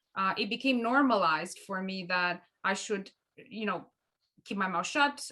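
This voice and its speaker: A woman with a Romanian accent speaks at a moderate pace and medium pitch. Her tone is bright and sharp, with ordinary pitch variation. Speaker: co-host of a mediation show. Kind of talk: conversational discussion. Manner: halting, many restarts.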